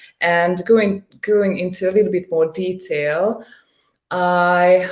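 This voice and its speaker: In a Hungarian accent, a woman with a fairly low voice speaks at a very slow pace. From Hungary. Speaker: coaching client. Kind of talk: interview testimony. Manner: halting, frequent repetitions and fillers.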